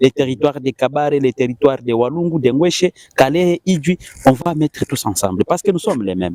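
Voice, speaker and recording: A man with an eastern Congolese accent and a fairly high pitch has a dark, mellow tone, lively intonation and a fairly quick pace, in a dry, close sound with no echo. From eastern DR Congo (South Kivu, Bahavu community). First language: Kihavu (speaking French). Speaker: musician. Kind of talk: interview. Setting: studio. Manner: halting.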